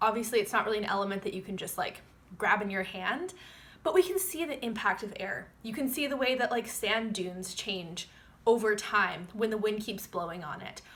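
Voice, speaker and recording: With an ordinary speaking voice, a woman talks fairly quickly at a fairly high pitch, using lively intonation. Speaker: astrologer. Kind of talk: forecast monologue to camera.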